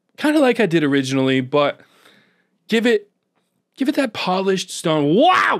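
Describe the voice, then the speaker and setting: This man speaks at a moderate pace with long, frequent pauses and very even loudness. His tone is upbeat, his pitch high, and it swings very widely. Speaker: Minecraft gameplay commentator. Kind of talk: gameplay voiceover recorded after the fact. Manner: casual, upbeat.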